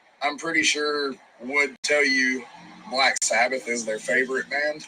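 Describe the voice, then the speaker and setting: Over noticeable background noise, a man with a strong Southern accent speaks fairly slowly at a fairly high pitch, with fairly even intonation. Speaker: rock band musician. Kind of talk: casual interview. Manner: casual, profane.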